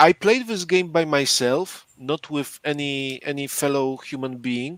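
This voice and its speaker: A man with a non-native accent talks at a fairly slow pace and a fairly high pitch. The recording is very clean, with a silent background. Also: ordinary pitch variation. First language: not English. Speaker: board game podcast co-host. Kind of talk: casual chat explaining game rules. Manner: halting, repeats words.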